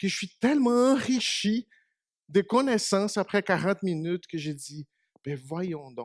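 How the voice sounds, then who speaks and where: A man with a Portuguese accent speaks at a very slow pace with lively intonation. The sound is dry and close with no echo, in a very clean recording with a silent background. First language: Portuguese (speaking French). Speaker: preacher. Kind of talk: sermon.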